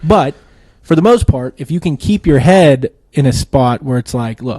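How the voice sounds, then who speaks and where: Lively in intonation, a man's voice carries a dark, mellow tone at a fairly high pitch. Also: moderate pace, dry, close sound with no echo. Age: 30s. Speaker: podcast co-host. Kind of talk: casual chat. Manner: animated storytelling.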